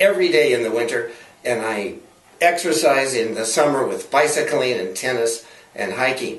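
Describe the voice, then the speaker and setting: Medium-pitched male voice at a moderate pace over noticeable background noise. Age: 60s. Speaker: health and longevity speaker. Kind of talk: interview answer.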